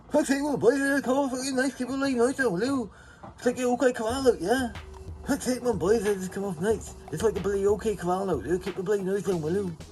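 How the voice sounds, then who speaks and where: Doing a put-on character voice, a man speaks high in pitch, nasal and at a fairly quick pace, with clear music in the background. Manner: angry, shouting.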